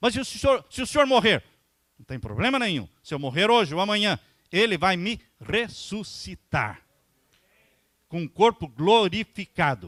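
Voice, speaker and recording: With a bright, sharp tone and high pitch, a man speaks at a moderate pace using very wide pitch swings, big swings in loudness and long, frequent pauses, in a dry, close sound with no echo. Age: 60s. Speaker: pastor. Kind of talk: sermon.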